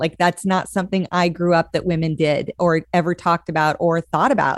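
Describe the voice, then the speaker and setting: Speaking at a fairly quick pace, a woman with an American accent has an unremarkable speaking voice. The sound is dry and close with no echo, on a very clean recording with a silent background. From Montana. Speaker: church leadership consultant. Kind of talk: casual chat.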